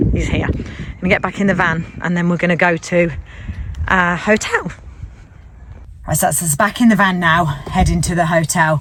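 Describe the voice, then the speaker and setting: Long, frequent pauses break up speech at a moderate pace, with fairly even intonation and noticeable background noise. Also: woman, fairly low pitch for a woman. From English Midlands, Leicestershire. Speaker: vlogger. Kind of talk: casual vlog narration. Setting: outdoors in a village and in a van.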